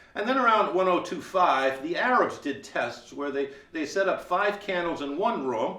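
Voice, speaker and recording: A man speaks at a high pitch with very wide swings in his pitch. Noticeable background noise runs under his voice. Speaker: museum curator. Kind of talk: museum tour guide talk. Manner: fast-talking.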